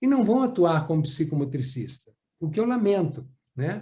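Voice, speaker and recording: There's audible room echo as a man with a fairly high, dark, mellow voice swings his pitch very widely. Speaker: psychomotor therapy trainer. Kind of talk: lecture. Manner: clear and easy to follow.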